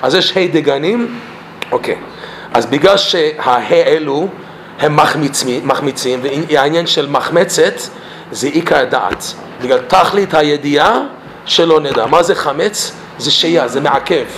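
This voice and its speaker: With an English accent, a man talks at a fairly slow pace in a fairly high pitch, using ordinary pitch variation and long, frequent pauses over noticeable background noise. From Canada, Toronto. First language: English (speaking Hebrew). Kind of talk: personal testimony talk; Torah lesson.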